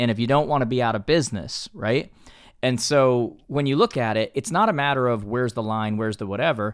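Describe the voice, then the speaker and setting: A man with a plain, everyday voice and an American accent, at a medium pitch and a fairly quick pace, with ordinary pitch variation, on a very clean recording with a silent background. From Connecticut. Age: 40s. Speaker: real estate coach and entrepreneur. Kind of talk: casual interview chat.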